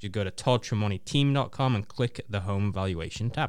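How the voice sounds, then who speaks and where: Fairly quick and fairly low-pitched, this man has an unremarkable speaking voice with ordinary pitch variation. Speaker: radio co-host. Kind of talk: live radio talk show.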